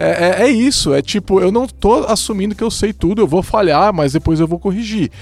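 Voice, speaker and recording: Barely pausing, a man talks at a high pitch with lively intonation. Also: moderate pace. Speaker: podcast host, software consultant. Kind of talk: casual panel discussion.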